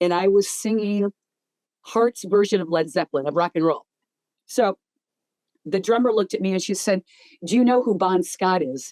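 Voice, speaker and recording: Using an American accent, a woman of medium pitch with a dark, mellow tone and ordinary pitch variation speaks at a moderate pace with long, frequent pauses, in a dry, close sound with no echo. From upstate New York. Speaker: heavy metal singer. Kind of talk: interview. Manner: casual.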